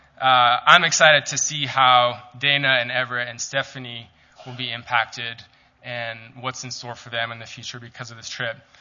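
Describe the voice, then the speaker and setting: Speaking at a moderate pace with an American accent, the voice stays monotone and flat in intonation while its loudness swings widely. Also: man, medium pitch for a man. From Calgary, Canada. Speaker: ministry staff member giving a talk. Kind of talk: church talk. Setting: church.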